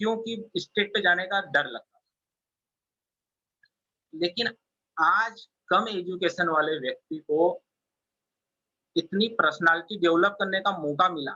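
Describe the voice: A man talks at a fairly slow pace. His high-pitched voice has a bright, sharp tone.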